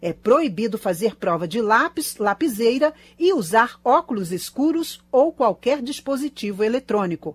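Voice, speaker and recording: At a fairly slow pace, a woman with a fairly high voice swings her pitch very widely. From Brazil. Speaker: radio reporter. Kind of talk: news reading. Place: studio.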